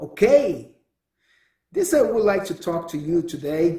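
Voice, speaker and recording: A man with a Brazilian accent speaks at a high pitch and fairly slow pace. His tone is dark and mellow. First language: Portuguese. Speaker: podcast host. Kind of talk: solo monologue. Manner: halting.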